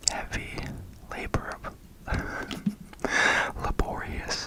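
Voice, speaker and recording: Over noticeable background noise, someone whispers at a very slow pace. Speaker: ASMR creator. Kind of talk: horror book reading. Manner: whispered.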